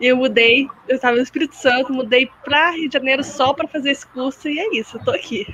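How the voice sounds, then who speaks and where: With hardly any pauses, a woman talks at a fairly quick pace in a high pitch with ordinary pitch variation over noticeable background noise. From Minas Gerais, Brazil. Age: 20s. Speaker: occupational therapy student. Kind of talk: casual chat. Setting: video call.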